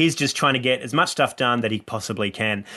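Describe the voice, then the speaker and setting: Against a quiet background, a man speaks at a medium pitch in a bright, sharp tone with an Australian accent. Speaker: comedian. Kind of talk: casual chat.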